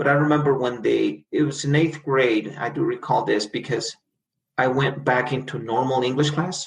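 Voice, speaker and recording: A man talks at a moderate pace in a Spanish accent. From El Salvador (San Salvador), then Los Angeles from age 12. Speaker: corporate lawyer, immigrant. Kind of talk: interview, personal life story.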